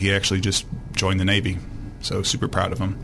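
Audible room echo surrounds the recording. The man speaking has a fairly low pitch. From Arkansas, moved from Illinois at about 12. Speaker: state legislator. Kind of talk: radio interview. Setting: studio.

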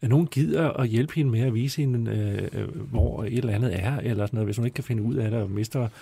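On a very clean recording with a silent background, a man speaks at a very fast pace. His medium-pitched voice has a dark, mellow tone, sounds somewhat breathy, and varies in pitch in an ordinary way. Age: 50s. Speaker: newspaper journalist, panelist. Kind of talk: casual panel chat.

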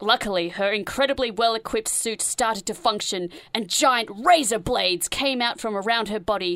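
Using an unforced reading voice, the reader shows ordinary pitch variation.

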